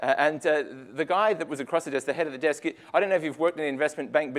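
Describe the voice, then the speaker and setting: A man with a fairly high pitch speaks with ordinary pitch variation. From Adelaide, South Australia. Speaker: agile consultant, speaker. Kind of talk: tech meetup talk. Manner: conversational, many fillers.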